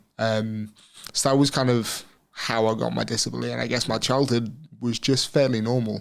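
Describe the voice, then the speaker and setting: The voice carries a West Midlands accent and a flat, monotone intonation. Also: man, medium pitch for a man, fairly quick pace. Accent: English West Midlands accent, noticeable. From England, Shropshire (West Midlands). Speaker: Paralympic wheelchair racer. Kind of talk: interview conversation. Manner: casual, with many fillers and repetitions.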